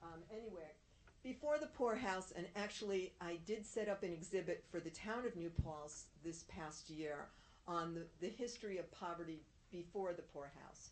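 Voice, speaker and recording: With a plain, everyday voice, a woman of fairly low pitch speaks at a moderate pace with lively intonation. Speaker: town historian. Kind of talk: presentation.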